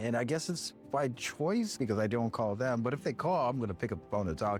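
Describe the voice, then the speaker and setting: At a fairly quick pace, a man of medium pitch talks with ordinary pitch variation. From Southern California (La Puente). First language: Spanish. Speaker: vlogger, hospital worker. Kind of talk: casual vlog monologue. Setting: at work in a hospital, on break.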